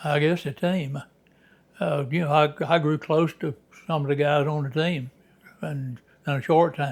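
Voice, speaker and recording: With a Southern US accent, a man speaks at a moderate pace and fairly high pitch, somewhat breathy and fairly even in intonation, with long, frequent pauses. The recording is very clean, and the background is silent. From Alabama. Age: 90s. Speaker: former minor league baseball player. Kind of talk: interview. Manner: halting.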